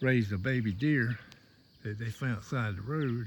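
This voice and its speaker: In a very clean recording with a silent background, a man speaks at a moderate pace with a Southern US accent. His medium-pitched voice is somewhat breathy, with ordinary pitch variation. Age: 60s. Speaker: goat farmer and homesteading vlogger. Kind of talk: casual farm vlog talk. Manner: halting.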